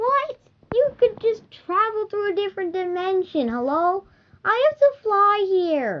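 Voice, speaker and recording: A put-on, squeaky character voice from a woman, extremely high in pitch, with very wide pitch swings and a fairly slow pace. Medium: read story. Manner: sassy, indignant.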